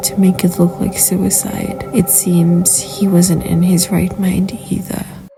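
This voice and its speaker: A woman speaks at a fairly slow pace in a medium pitch, her intonation monotone and flat, with music playing in the background. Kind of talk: horror story narration read to camera.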